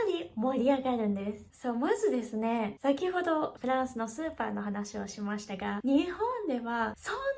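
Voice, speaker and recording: A woman speaks at a moderate pace in a high pitch, her voice swinging very widely up and down. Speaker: language teacher. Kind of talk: educational talk to camera.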